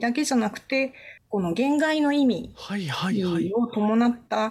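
On a very clean recording with a silent background, a plain, everyday voice carries lively intonation. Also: woman. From Okinawa, Naha. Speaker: university lecturer in English literature. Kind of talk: radio lecture interview.

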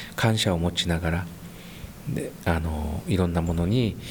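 The pace here is moderate, carried by an unremarkable speaking voice. Pitch rises and falls in ordinary measure. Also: man. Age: 50s. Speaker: high school basketball coach. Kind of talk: interview.

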